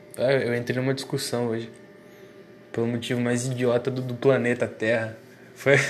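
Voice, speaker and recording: Against noticeable background noise, a man speaks at a medium pitch and moderate pace with monotone, flat intonation and long, frequent pauses. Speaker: solo monologue recorder. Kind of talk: rambling personal monologue. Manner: halting, repeats words.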